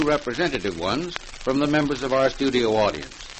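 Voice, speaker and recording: A man talks at a fairly quick pace with a medium pitch. His pitch varies in an ordinary way, and there is noticeable background noise. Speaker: radio program host / announcer. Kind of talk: vintage radio broadcast announcer.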